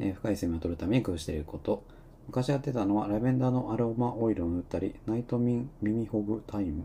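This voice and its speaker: The voice is somewhat breathy with a dark, mellow tone, moving at a very fast pace with ordinary pitch variation. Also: man, fairly low pitch for a man. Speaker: live-stream talk host. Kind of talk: casual live talk reading listener comments. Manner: filler-heavy, rambling delivery.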